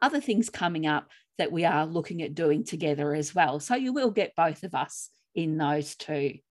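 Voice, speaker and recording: In a very clean recording with a silent background, a woman with an Australian accent speaks at a fairly low pitch. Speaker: grief coach and podcast co-host. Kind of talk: podcast chat and reading own writing.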